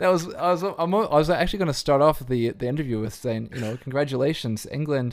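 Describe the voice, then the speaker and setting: With a New Zealand accent, a man rushes along at a very fast pace with hardly any pauses, fairly high in pitch with ordinary variation. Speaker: podcast host and DJ. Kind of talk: casual interview chat.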